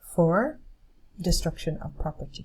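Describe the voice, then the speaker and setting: This woman's voice has a dark, mellow tone and is somewhat breathy. Her pitch varies an ordinary amount. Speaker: English teacher. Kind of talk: lecture. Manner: slow, clear.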